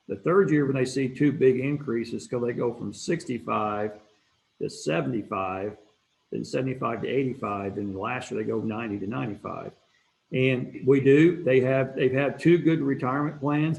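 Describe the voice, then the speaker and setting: This is an ordinary speaking voice from a man at medium pitch. He talks at a moderate pace with ordinary pitch variation. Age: 60s. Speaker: bricklayer apprenticeship director. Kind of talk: interview.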